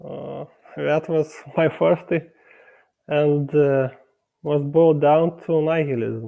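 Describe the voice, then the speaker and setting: With a Lithuanian accent, a man speaks very slowly at a fairly high pitch, using fairly even intonation and long, frequent pauses. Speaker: meat-eating debater. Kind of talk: debate. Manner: halting, stuttering.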